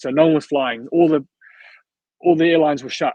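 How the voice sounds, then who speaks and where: A man speaks very fast in a fairly high voice, his intonation fairly even. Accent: South African. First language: Afrikaans. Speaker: videographer / vlogger. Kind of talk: casual interview chat.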